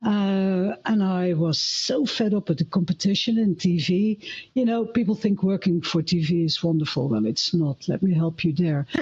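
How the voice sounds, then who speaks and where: With a Dutch accent, a woman speaks at a moderate pace with hardly any pauses, her medium-pitched, somewhat breathy voice holding a very even loudness and lively intonation. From Netherlands. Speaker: filmmaker and former TV camera operator. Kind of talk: live panel discussion.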